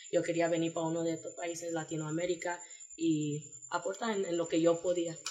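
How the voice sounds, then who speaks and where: A woman's fairly low voice, monotone and flat, at a fairly quick pace. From New York, US, Panamanian family. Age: 20s. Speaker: Peace Corps volunteer. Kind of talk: casual interview.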